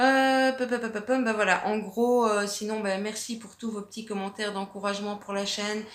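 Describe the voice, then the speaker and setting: With a Belgian accent, the speaker talks at a moderate pace in a monotone, flat intonation against noticeable background noise. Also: woman, fairly high pitch for a woman. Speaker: arts and crafts YouTuber. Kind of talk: casual vlog answering viewer questions. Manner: hesitant, many fillers (euh, ben).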